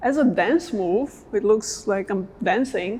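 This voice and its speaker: A woman speaks with a non-native accent. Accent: noticeable non-native. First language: not English. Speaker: dance coach. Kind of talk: tutorial. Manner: casual, conversational.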